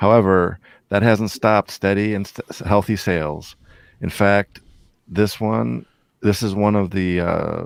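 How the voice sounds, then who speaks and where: A man with a Midwestern accent speaks at a fairly slow pace and a fairly low pitch, with ordinary pitch variation. The sound is dry and close with no echo, on a very clean recording with a silent background. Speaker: comic book show co-host. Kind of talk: casual chat. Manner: reading from notes.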